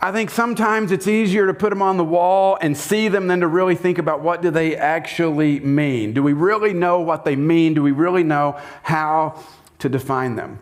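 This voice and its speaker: A Southern US accent at a moderate pace, with ordinary pitch variation, very even loudness and audible room echo. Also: man, high pitch for a man. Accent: Southern US, noticeable. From US South. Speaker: pastor. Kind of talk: sermon. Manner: conversational, interactive.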